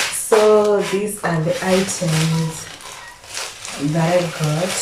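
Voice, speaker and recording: A woman speaks very slowly in a fairly low voice with fairly even intonation, over noticeable background noise and audible room echo. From Zimbabwe. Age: 20s. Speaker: lifestyle vlogger. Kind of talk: casual vlog talk to camera.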